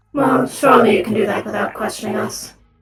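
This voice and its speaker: At a very fast pace, a put-on character voice delivers its lines with a raspy edge. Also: fairly high pitch. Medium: machinima.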